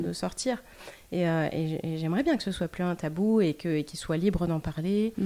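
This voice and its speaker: With a dark, mellow tone and fairly low pitch, a woman talks at a moderate pace with ordinary pitch variation. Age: 40s. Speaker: former lawyer. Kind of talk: interview. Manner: halting.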